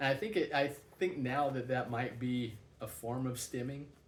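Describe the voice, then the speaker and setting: Somewhat breathy speech at a moderate pace comes with audible room echo. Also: man. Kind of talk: personal vlog monologue. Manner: halting, many fillers and repeats.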